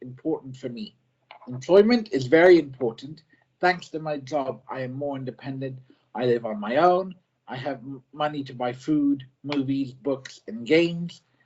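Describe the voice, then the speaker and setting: Big swings in loudness mark this voice, which moves at a moderate pace with ordinary pitch variation. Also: man, fairly high pitch for a man. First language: not French. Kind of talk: prepared presentation. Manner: halting.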